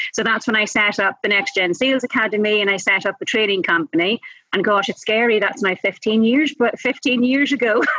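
A woman with a Northern Irish accent, fairly high in pitch, fairly quick in pace, with ordinary pitch variation and very even loudness. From Northern Ireland, Enniskillen. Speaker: sales trainer and speaker. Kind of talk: interview. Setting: at a conference.

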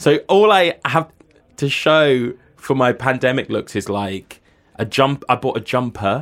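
The speaker has a British accent, uses lively intonation and keeps a fairly slow pace. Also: man, medium pitch for a man. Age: 30s. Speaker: writer and cultural critic. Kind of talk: interview. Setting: studio booth.

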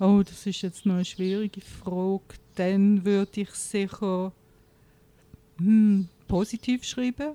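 Woman with a dark, mellow tone, very slow pace and long, frequent pauses, dry and close with no echo. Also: medium pitch for a woman, fairly even intonation. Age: 50s. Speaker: diabetic patient and author. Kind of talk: interview.

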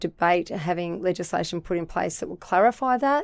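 On a very clean recording with a silent background, a woman with an Australian accent speaks at a medium pitch and moderate pace. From Australia, New South Wales Central Coast. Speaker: political candidate. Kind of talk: interview.

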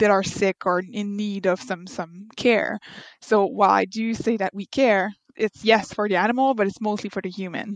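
Someone with a Quebec accent speaks at a moderate pace with ordinary pitch variation, the sound dry and close with no echo against a quiet background. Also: woman. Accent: Québécois French. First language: French. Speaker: veterinary architect. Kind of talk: interview.

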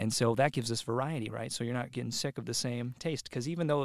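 A man with an unremarkable speaking voice at medium pitch, fairly quick and fairly even in intonation, in a very clean recording with a silent background and a dry, close sound with no echo. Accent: American. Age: 20s. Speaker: podcast guest. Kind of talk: casual chat.

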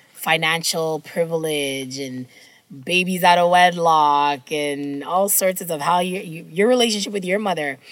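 In an ordinary speaking voice, the words come at a fairly slow pace with ordinary pitch variation. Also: woman, fairly low pitch for a woman. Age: 30s. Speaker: book podcast co-host. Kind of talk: casual chat.

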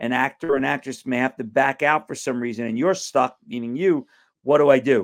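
A man speaks with an American accent at a fairly quick pace. He has an unremarkable speaking voice at a medium pitch. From Brooklyn, New York. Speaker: actor. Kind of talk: interview. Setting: video call.

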